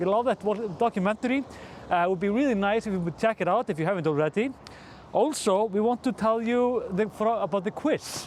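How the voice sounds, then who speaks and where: In an Icelandic accent, a man with a high voice talks at a fairly quick pace with ordinary pitch variation. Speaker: newspaper editor-in-chief. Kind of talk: casual news commentary to camera.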